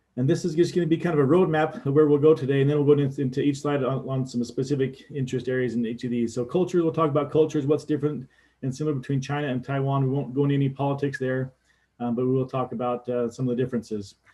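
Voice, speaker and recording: Somewhat breathy and fairly high-pitched, a man with an American accent speaks at a very fast pace with fairly even intonation. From US West, Nevada. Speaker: Air Force veteran and education business developer. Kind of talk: lecture with slides over video call. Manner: halting, many fillers and repeats.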